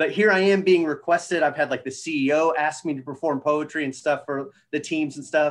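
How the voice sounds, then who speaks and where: A man's unremarkable speaking voice, with fairly even intonation and a fairly quick pace. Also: fairly high pitch for a man. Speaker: brand manager and spoken word poet. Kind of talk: interview answer.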